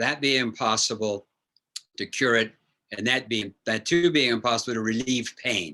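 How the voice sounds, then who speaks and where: This man has a bright, sharp tone and a medium pitch. He speaks at a moderate pace, with ordinary pitch variation. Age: 80s+. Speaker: neurosurgeon. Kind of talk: Q&A talk. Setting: lecture with audience.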